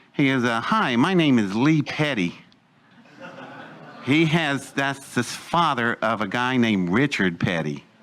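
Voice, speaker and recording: Talking at a fairly slow pace with a medium pitch, a man with an Appalachian accent uses lively intonation and very even loudness. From West Virginia (Welch, coalfields). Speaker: storyteller recounting life story. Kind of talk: personal storytelling talk to audience.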